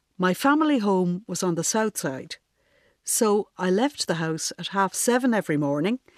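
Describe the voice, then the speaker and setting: A woman at a medium pitch with a Dublin accent and lively intonation, in a dry, close sound with no echo and a quiet background. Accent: Dublin Irish. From Ireland, Dublin. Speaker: gardener and essayist. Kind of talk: reading aloud a personal essay.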